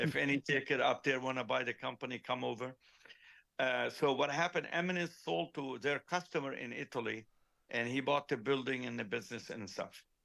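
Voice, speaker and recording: This man's voice sits at a medium pitch, bright and sharp with vocal fry. He talks at a fairly quick pace with ordinary pitch variation. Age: 60s. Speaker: car audio company founder and engineer. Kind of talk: casual chat.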